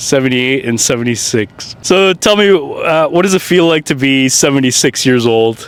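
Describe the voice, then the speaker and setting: There is noticeable background noise as a man speaks at a moderate pace with fairly high pitch and hardly any pauses. His loudness stays very even while his intonation is lively. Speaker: street interviewer, channel host. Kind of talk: casual street interview questions.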